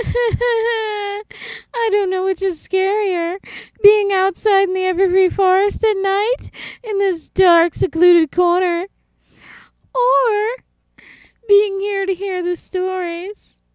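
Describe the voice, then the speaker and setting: Someone uses a put-on character voice at an extremely high pitch, moving at a fairly slow pace with long, frequent pauses. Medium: audio drama. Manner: teasing.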